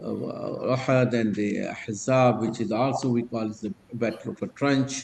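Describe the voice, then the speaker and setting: A man talks at a medium pitch with fairly even intonation. Noticeable background noise runs behind him. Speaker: religious study circle teacher. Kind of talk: lecture. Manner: slow, halting with fillers.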